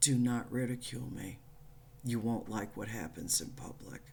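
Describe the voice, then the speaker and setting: Audible room echo surrounds a woman who talks at a fairly slow pace with a very deep, low pitch. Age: 60s. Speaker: spiritual channel host. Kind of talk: spiritual monologue. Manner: blunt, profane.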